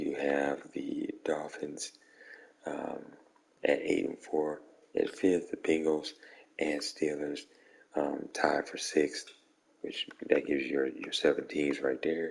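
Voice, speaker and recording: A man speaks quietly at a very slow pace. He leaves long, frequent pauses. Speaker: video game streamer. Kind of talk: casual gaming recap to viewers. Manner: quiet, hushed.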